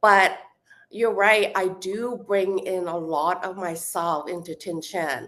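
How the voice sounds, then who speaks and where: A woman at medium pitch, very slow, with fairly even intonation. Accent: Hong Kong. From Hong Kong. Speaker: actress. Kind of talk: interview. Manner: halting, many fillers and restarts.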